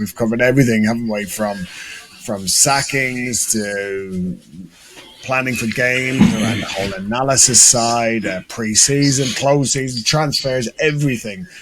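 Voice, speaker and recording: Over noticeable background noise, a man with an Irish accent speaks at a fairly slow pace with ordinary pitch variation. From Ireland. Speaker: football coach and podcast co-host. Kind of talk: casual chat.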